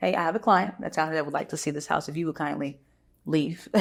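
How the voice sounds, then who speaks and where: This woman's voice sits very deep and low, with vocal fry running through it. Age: young. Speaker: real estate agent. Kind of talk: casual interview chat.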